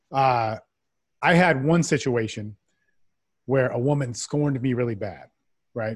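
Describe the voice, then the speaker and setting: Over a very clean recording with a silent background, a man's somewhat breathy voice at medium pitch moves at a fairly slow pace. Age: 40s. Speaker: men's development coach. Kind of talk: casual interview.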